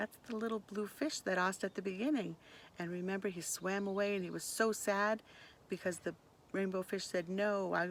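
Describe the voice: The delivery is plain reading aloud. Its intonation stays fairly even.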